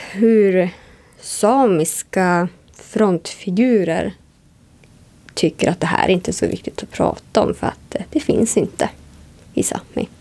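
At a very slow pace with long, frequent pauses, a woman speaks at a medium pitch with ordinary variation, her dark, mellow tone carrying vocal fry. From northern Sweden, Sámi (Jämtland and Kiruna area). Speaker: radio presenter. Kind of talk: interview. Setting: hotel room.

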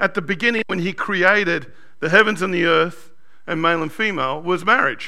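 Here a man speaks with an Australian accent. His pitch is high and his tone bright and sharp. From Sydney, Australia. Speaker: pastor. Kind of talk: sermon. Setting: church.

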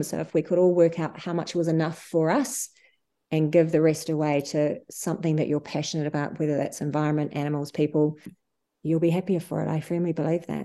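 A dark, mellow tone with a New Zealand accent moves at a fairly quick pace with fairly even intonation over a quiet background. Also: woman. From New Zealand, Wanaka. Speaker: charity founder and CEO. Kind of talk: interview.

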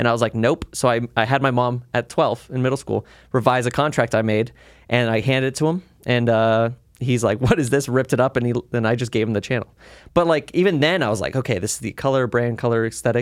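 At a very fast pace, a man with an American accent talks at medium pitch with ordinary pitch variation. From Las Vegas, Nevada, US. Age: 20s. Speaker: studio co-owner and online creator. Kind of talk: casual chat.

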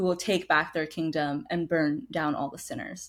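A woman with a fairly low pitch shows ordinary pitch variation and has an ordinary speaking voice. The recording is very clean, with a silent background. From United States (immigrated from India at two). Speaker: author. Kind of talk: casual chat.

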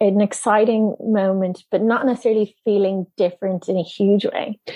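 A woman with a Dublin accent, medium in pitch. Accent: Irish (Dublin). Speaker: film producer. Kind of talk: interview.

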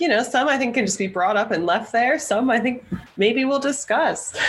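There is noticeable background noise behind this speaker. She is a woman with a high-pitched voice. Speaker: podcast co-host. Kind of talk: casual chat.

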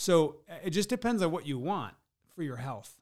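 A man speaks with a Midwestern American accent. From US Midwest (rural Michigan thumb). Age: 40s. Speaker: business coach and speaker. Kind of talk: podcast interview. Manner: energetic.

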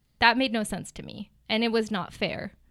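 In a normal speaking voice, a woman with an American accent talks at a moderate pace and a fairly high pitch. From New Jersey and Gaza City, Palestine. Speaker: real estate agent. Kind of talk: interview.

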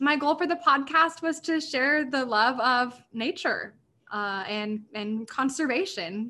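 The voice is raised and projected, with a bright, sharp tone. Its pitch varies in an ordinary way. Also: woman. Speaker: podcast host, guest. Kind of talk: casual chat.

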